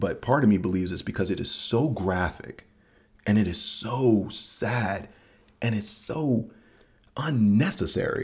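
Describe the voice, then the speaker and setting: A man talks fairly slowly in a fairly low, somewhat breathy voice. His pitch varies in an ordinary way. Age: 40s. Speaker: podcast host, father. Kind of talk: casual chat.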